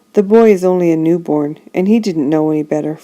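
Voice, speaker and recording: Using a put-on character voice, a woman talks very fast at a fairly low pitch. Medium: read story. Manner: dignified, firm.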